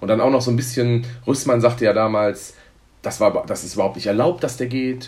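Somewhat breathy and at medium pitch, a man speaks at a fairly quick pace with fairly even intonation. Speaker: football fan representative. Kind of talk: interview.

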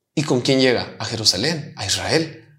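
The man's voice sits at a fairly high pitch. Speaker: pastor. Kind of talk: interview conversation.

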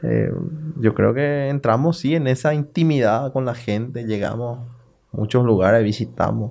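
His pace is moderate, and his pitch is medium with ordinary pitch variation. A man talks in a plain, everyday voice. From Paraguay, Salto del Guairá. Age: 30s. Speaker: local politician. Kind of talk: casual interview.

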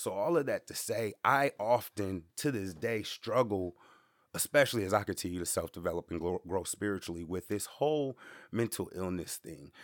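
Recorded very clean with a silent background and a dry, close sound with no echo, the voice keeps a moderate pace and lively intonation. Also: man, fairly low pitch for a man. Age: 30s. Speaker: podcast host. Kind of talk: motivational monologue. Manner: casual, slangy.

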